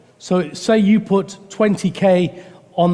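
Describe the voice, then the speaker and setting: The man's intonation stays fairly even while noticeable background noise runs underneath. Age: 60s. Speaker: preacher. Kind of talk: sermon. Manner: halting.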